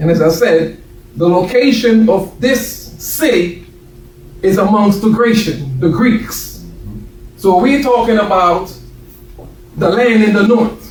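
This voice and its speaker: Over noticeable background noise and audible room echo, a man with an American accent speaks at high pitch and a very slow pace, with very even loudness and long, frequent pauses. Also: ordinary pitch variation. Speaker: minister. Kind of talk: sermon.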